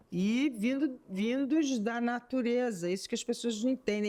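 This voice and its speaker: A woman with a fairly high pitch and a dark, mellow tone is heard in a very clean recording with a silent background. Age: 60s. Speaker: talk show host, visual artist. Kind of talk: interview conversation.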